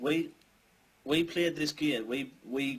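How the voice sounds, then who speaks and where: A man in a northern English accent, with ordinary pitch variation. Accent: northern English, mistaken for Scouse. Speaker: gaming podcast co-host. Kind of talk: casual chat. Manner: animated.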